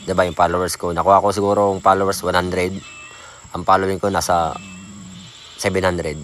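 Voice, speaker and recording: A man with a very deep, low voice talks very fast in a flat monotone with long, frequent pauses. Noticeable background noise runs underneath. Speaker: small content creator. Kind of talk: casual vlog talk. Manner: soft, lowered voice; halting.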